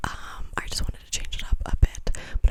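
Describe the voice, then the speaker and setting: At a moderate pace, a whisper comes through noticeable background noise. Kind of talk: ASMR rambling talk to camera. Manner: whispered; rambling, repetitive.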